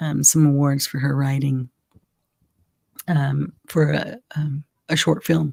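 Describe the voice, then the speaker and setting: Very deep and low, a woman's voice carries a dark, mellow tone. She speaks at a very slow pace with monotone, flat intonation. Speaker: live show host. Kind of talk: casual chat. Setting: live stream. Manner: hesitant, many fillers.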